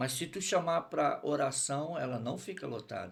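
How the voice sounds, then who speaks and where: This man's pitch sits fairly high, and his intonation is lively with vocal fry. He speaks at a fairly slow pace. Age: 60s. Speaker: pastor. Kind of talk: testimony.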